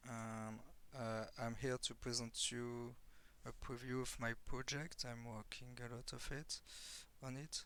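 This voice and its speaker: A man with a strong French accent, medium pitch, a bright, sharp tone, monotone, flat intonation and a fairly slow pace. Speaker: software developer. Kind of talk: software tutorial. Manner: halting, many fillers.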